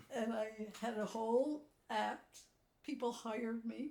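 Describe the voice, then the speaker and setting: Fairly high-pitched and somewhat breathy, a woman speaks with an American accent. Her tone is dark and mellow, her intonation fairly even. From US, working-class neighborhood. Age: 80s+. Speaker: psychoanalyst and art therapist. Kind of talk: casual chat.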